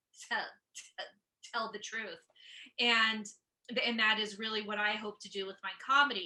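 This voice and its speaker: A bright, sharp tone with monotone, flat intonation, big swings in loudness, a moderate pace and long, frequent pauses. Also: woman, fairly high pitch for a woman. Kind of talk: interview.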